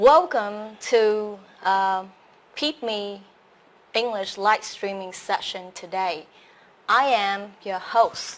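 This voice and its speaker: A woman's medium-pitched voice with a Vietnamese accent, at a very slow pace. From Vietnam, Saigon. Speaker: English teacher and host. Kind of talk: live stream self-introduction. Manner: hesitant, many fillers.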